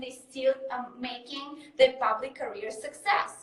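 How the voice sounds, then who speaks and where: The speaker has a Russian accent. The pace is very slow. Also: woman. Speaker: mindset coach. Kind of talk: interview.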